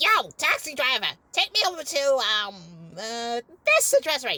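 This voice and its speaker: A woman's put-on character voice, high in pitch, at a moderate pace with big swings in loudness. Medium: machinima. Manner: brash, impatient.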